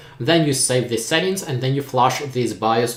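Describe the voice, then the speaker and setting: With a Ukrainian accent, a man talks at a moderate pace and medium pitch, using ordinary pitch variation. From Ukraine. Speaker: tech YouTuber. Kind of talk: live stream Q&A.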